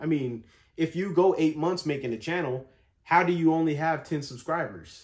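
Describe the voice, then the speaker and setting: With a plain, everyday voice, a man of fairly high pitch talks at a moderate pace with ordinary pitch variation. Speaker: vlogger. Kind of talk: casual vlog monologue. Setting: home, sitting in bed.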